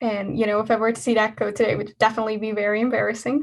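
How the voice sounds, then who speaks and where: This woman's voice sits at a fairly high pitch. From Hungary. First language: Hungarian. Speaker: engineering student. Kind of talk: talk at an online student event. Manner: talkative, lively.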